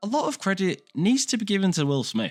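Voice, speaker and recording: The speaker has an English accent. The recording is very clean, with a silent background. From England. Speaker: film and TV reviewer. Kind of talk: video review commentary. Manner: casual, conversational.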